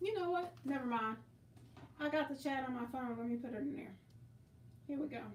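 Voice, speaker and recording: The speech moves at a fairly quick pace with long, frequent pauses. Pitch variation is ordinary, and room echo is audible. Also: woman, high pitch for a woman. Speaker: quilting livestream host. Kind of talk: casual livestream chat. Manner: loud.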